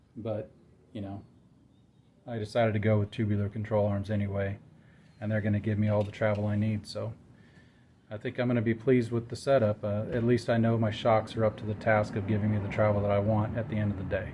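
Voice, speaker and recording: A man with a somewhat breathy, dark, mellow voice at a fairly low pitch speaks at a very fast pace in a monotone, flat intonation, broken by long, frequent pauses. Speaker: amateur drag racer and car builder. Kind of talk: DIY garage tutorial. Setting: outdoors at home garage.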